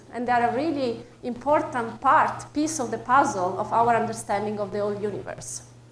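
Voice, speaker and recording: Someone speaks at a fairly quick pace with an Italian accent. Noticeable background noise and audible room echo fill the recording. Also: woman. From Italy. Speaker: astrophysics researcher. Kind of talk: public lecture. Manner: hesitant, with fillers.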